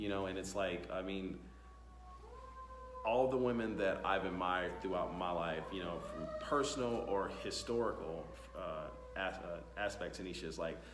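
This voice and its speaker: Amid noticeable background noise and audible room echo, a man with a fairly low pitch and ordinary pitch variation speaks at a moderate pace. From US. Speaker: talk show host. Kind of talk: casual interview chat. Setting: tech conference. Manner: halting, many fillers.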